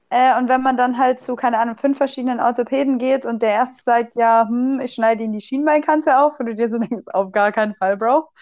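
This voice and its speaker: A woman speaks with a slight Swabian accent in a high pitch against a quiet background. Her pace is fairly quick, her intonation fairly even, with hardly any pauses. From Swabia, southwestern Germany. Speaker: physiotherapist and student athlete. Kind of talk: casual chat.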